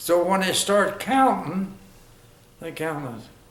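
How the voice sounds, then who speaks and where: A high-pitched male voice at a very slow pace amid noticeable background noise. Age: 80s+. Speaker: war veteran. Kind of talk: interview answer.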